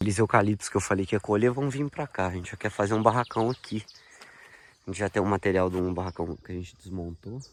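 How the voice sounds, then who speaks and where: In a fairly low pitch with ordinary variation, this man speaks very fast. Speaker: agroforestry farmer. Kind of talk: video diary walkthrough. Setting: outdoors on a farm. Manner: casual, informal.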